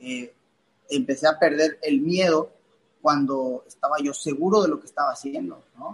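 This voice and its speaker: A man's fairly slow delivery at a fairly high pitch, with ordinary pitch variation. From Mexico, Playa del Carmen (Quintana Roo). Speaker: professional boxer. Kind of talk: podcast interview. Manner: halting, many repetitions and fillers.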